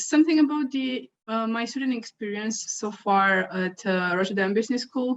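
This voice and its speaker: At a moderate pace, a woman speaks with a Romanian accent. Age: 20s. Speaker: university student ambassador. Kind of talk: webinar testimony. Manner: hesitant.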